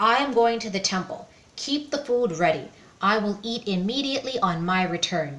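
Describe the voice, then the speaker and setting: A woman does a put-on character voice, fairly high in pitch. Her intonation is lively and her pace moderate. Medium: read story. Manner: bossy, scolding.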